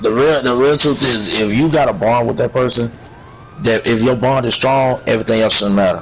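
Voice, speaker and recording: The speech moves at a fairly quick pace with ordinary pitch variation and very even loudness. Background noise is noticeable. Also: man, medium pitch for a man. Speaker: livestream chat participant. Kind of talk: casual chat. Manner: quieter than usual, holding back volume; repetitive, stumbling restarts.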